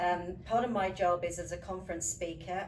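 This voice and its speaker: Amid noticeable background noise and audible room echo, a woman speaks at a moderate pace with a fairly low pitch. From UK. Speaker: leadership coach and professional speaker. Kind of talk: interview.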